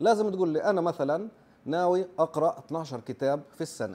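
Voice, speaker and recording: This man has a high-pitched voice with a dark, mellow tone. He talks at a moderate pace with ordinary pitch variation. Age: 40s. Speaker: nurse and YouTuber; YouTuber. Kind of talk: informal explainer video. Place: home room. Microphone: lapel.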